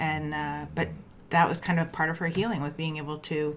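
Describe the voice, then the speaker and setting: A woman speaks in a fairly low voice. Noticeable background noise is present. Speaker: podcast co-host and doula. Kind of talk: casual chat.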